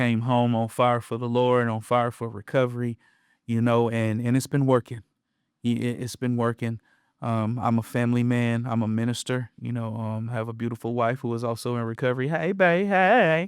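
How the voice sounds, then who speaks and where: With an American accent and a normal speaking voice, a man talks at a moderate pace with ordinary pitch variation. The recording is very clean with a silent background, and the sound is dry and close with no echo. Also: medium pitch for a man. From Western North Carolina (Appalachia). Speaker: podcast co-host, minister. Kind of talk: casual conversational podcast.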